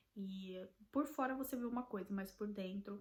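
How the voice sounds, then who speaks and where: Somewhat breathy and at medium pitch, a woman with a Brazilian accent speaks at a fairly slow pace with ordinary pitch variation. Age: 20s. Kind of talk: casual talk to camera.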